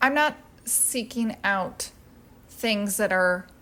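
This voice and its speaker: Soft-spoken and very slow, a woman talks at medium pitch with fairly even intonation. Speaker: home decor youtuber. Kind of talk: casual product haul chat. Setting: at home.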